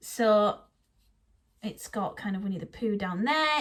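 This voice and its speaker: Here a woman speaks with an English accent. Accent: British, English. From northeast England, Teesside. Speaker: Disney vlogger. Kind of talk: casual vlog talk to camera.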